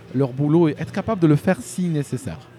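A man speaks fairly quickly with music in the background. His voice sits fairly high and varies in pitch in an ordinary way. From Algeria. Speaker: YouTube news commentator. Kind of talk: casual interview. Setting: in person, Paris. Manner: halting, many repetitions.

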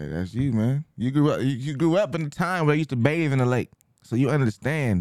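A man with an unremarkable speaking voice and an American accent talks at a fairly quick pace with fairly high pitch and lively intonation, in a dry, close sound with no echo. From US, Mexican heritage. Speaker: podcast co-host. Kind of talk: casual chat.

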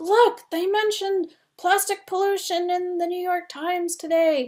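A woman talks at a fairly slow pace. The recording is very clean, with a silent background. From Canada. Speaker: cookbook author and blogger. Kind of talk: interview.

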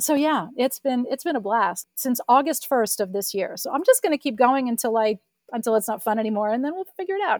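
Her voice is high-pitched, with lively intonation at a fairly quick pace. The sound of this woman is dry and close, with no echo. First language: French. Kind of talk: interview.

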